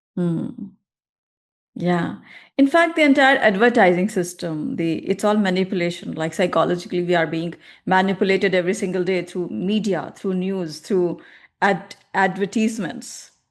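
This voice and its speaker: A woman talks in a normal speaking voice at a medium pitch with ordinary variation. Her pace is moderate and the background is quiet. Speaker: podcast host. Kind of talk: podcast interview talk.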